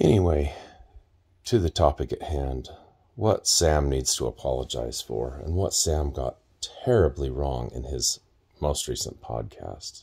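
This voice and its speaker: In a quiet background, a man with a very deep, low pitch and a dark, mellow tone speaks at a fairly slow pace with lively intonation, vocal fry and long, frequent pauses. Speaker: self-styled podcast host. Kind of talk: casual vlog commentary. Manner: lying-in-bed, just-woke-up speech. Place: home room. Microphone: phone near.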